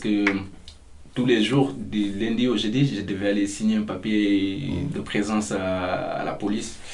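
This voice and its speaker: Amid audible room echo, a man talks at a fairly slow pace with fairly even intonation. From Mauritania. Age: 20s. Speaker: migrant, volunteer. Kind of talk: interview testimony. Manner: hesitant, lots of fillers.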